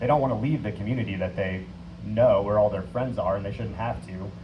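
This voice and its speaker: A man rushes along at a very fast pace amid noticeable background noise and audible room echo. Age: 30s. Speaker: city council candidate. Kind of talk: candidate forum answer.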